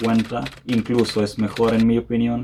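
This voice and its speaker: The speaker has a Serbian accent. The pace is fairly slow. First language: Serbian (speaking Spanish). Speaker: language learning youtuber. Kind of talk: casual educational talk to camera.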